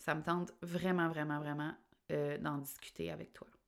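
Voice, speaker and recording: Female speech, captured very cleanly against total silence. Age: 30s. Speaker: life coach and podcast host. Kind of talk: solo podcast monologue. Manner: casual, conversational.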